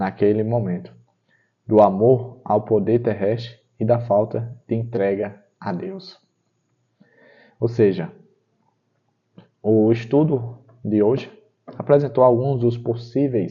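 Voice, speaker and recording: A somewhat breathy man's voice at medium pitch, very slow in pace, with ordinary pitch variation. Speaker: Bible study teacher. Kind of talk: guided Bible study.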